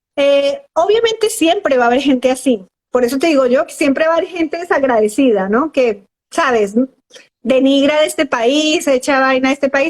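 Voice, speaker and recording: A woman speaks at a high pitch and a moderate pace. Her intonation is lively and her loudness stays very even. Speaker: psychologist. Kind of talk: interview on live stream.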